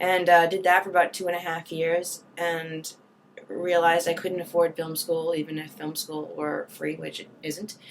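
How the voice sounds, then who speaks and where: Against noticeable background noise, a woman with an American accent and a fairly low pitch talks at a moderate pace in a monotone, flat way, with big swings in loudness. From Boston, Massachusetts. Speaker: actress. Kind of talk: interview. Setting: studio.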